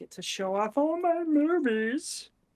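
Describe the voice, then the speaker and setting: At a moderate pace, the speaker uses a high-pitched, put-on character voice. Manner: silly put-on.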